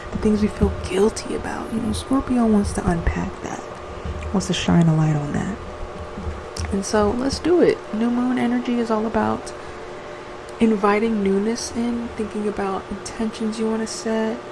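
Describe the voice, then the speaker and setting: Audible room echo and noticeable background noise surround a woman's fairly high voice. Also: ordinary pitch variation, moderate pace. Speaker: astrology and ritual content creator. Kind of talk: casual guided journaling talk. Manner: animated, projecting rather than whispering; casual, filler-heavy speech.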